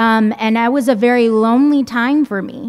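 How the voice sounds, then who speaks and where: A fairly high-pitched woman with a Spanish accent, on a very clean recording with a silent background. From San Jose area, California. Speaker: school board trustee. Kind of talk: panel talk. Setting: community meeting.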